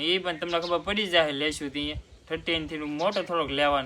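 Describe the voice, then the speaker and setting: The man's voice has a bright, sharp tone. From Gujarat, Bhavnagar district (Mahuva). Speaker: vlogger and farmer. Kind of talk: casual Q&A vlog.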